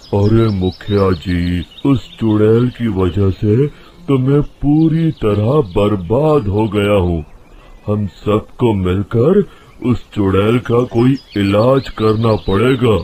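A rumbling, cartoonish character voice speaks very slowly at a very even loudness. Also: man, fairly low pitch for a man. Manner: grumbling, scornful.

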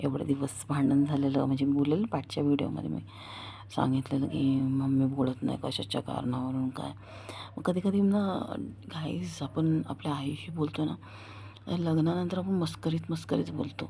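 A quiet woman with a very deep, low voice and very wide pitch swings. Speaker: vlogger. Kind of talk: casual vlog monologue. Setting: at home at night. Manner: quieter at night.

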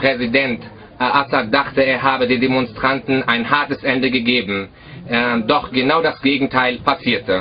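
A man talks at a moderate pace with fairly even intonation and very even loudness. Light background noise sits under his voice. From Germany, North Rhine-Westphalia. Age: 20s. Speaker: army defector. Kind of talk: prepared statement to camera. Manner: formal. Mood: serious, measured.

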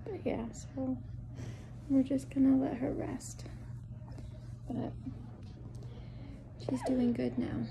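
Soft-spoken, very slow delivery with long, frequent pauses over noticeable background noise. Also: woman. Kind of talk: casual vlog chat. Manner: hushed, soft voice beside resting child. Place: home room. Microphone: phone near.

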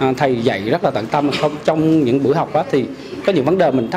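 Noticeable background noise sits under a man talking very fast, his pitch shifting in an ordinary way. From Vietnam, Central Highlands (Pleiku, Gia Lai); Vietnam. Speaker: clothing shop owner, course student. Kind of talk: testimonial. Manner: halting, many fillers. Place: home room.

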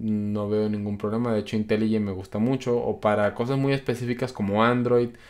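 Against a quiet background, a man speaks at a medium pitch. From Colombia. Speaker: programming youtuber. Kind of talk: live stream Q&A. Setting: live stream. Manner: casual, many filler words. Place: home room.

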